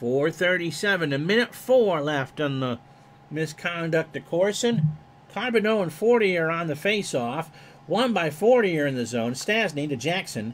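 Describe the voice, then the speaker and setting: At a moderate pace, a man uses an ordinary speaking voice, fairly high in pitch, with lively intonation. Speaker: streamer doing play-by-play of a simulated retro hockey game. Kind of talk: live play-by-play hockey commentary over a video game replay. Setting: live stream from a home studio. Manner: folksy, jokey asides between plays.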